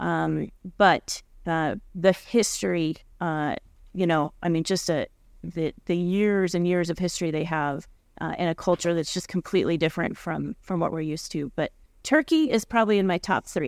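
A woman's plain, everyday voice, fairly low with ordinary pitch variation and an American accent, on a very clean recording with a silent background. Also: moderate pace. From US West, southwest Colorado. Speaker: agricultural council executive director. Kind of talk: casual interview.

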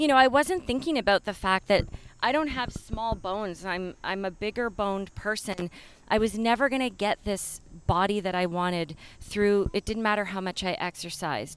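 This woman has an unremarkable speaking voice, medium in pitch, delivered at a moderate pace with lively intonation. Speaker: yoga studio owner and teacher. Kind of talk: casual interview chat. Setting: outdoors in a park.

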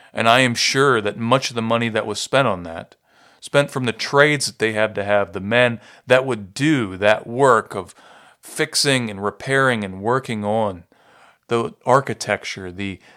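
A man with an American accent speaks at a medium pitch with ordinary pitch variation and a bright, sharp tone. The recording is very clean, with a silent background. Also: moderate pace. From Ohio, US. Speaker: pastor and podcast host. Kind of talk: teaching lecture. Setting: studio podcast recording. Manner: measured, explanatory.

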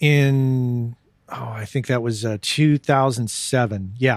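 A man with an American accent and an unremarkable speaking voice, at medium pitch with ordinary variation and a fairly slow pace. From US Southwest (southern New Mexico). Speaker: audio engineer and podcast host. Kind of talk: casual interview. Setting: Skype call.

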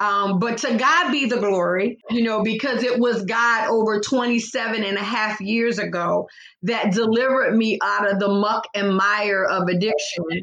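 Speaking at a fairly slow pace, a woman uses a fairly high pitch with ordinary pitch variation in an ordinary speaking voice. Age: 60s. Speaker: therapist and life coach. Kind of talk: interview on faith podcast.

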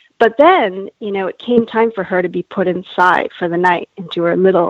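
A woman at a medium pitch and moderate pace, a plain, everyday voice. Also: hardly any pauses. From Canada. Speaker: animal welfare campaigner. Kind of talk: interview.

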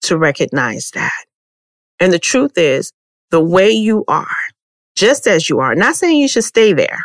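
A medium-pitched woman with an American accent and vocal fry, an animated tone, very wide pitch swings, a fairly slow pace with long, frequent pauses, and a dry, close sound with no echo. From Texas. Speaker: podcast host.

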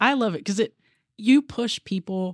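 With a US Midwestern accent, a woman talks at a moderate pace in a dry, close sound with no echo. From Columbus, Ohio (US Midwest). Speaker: police deputy chief. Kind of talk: interview conversation.

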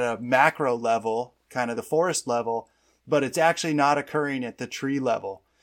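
A man with a normal speaking voice, fairly high in pitch, ordinary pitch variation and a moderate pace, on a very clean recording with a silent background. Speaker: podcast co-host and sales manager. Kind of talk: podcast interview.

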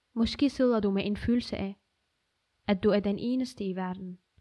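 With a dark, mellow tone, a woman speaks at a moderate pace and fairly even intonation. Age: 20s. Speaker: activist. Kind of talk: personal essay reading.

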